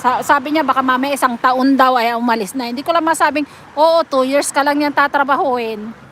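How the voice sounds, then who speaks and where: A woman's high voice at a fairly quick pace, fairly even in intonation, over noticeable background noise. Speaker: live streamer, overseas domestic worker. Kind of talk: casual live stream chat. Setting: live stream.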